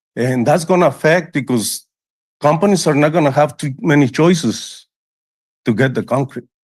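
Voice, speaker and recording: A man at a fairly high pitch with ordinary pitch variation, moderate pace and a quiet background. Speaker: public commenter, truck driver. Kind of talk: public comment at council meeting. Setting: city council meeting. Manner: halting.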